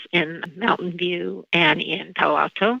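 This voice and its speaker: This woman's voice sits at a fairly low pitch and carries vocal fry. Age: 60s. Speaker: eating disorder nonprofit founder. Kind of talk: podcast interview.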